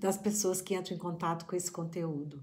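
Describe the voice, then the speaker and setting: A woman speaks at medium pitch. Audible room echo fills the recording. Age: middle-aged. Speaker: psychologist and family constellation therapist. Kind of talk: reflective talk to camera. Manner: halting.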